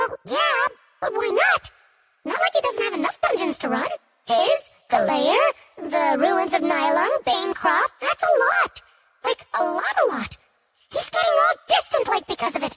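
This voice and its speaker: A squeaky, put-on character voice moves at a moderate pace, broken by long, frequent pauses. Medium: read story. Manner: casual, chatty, filler words.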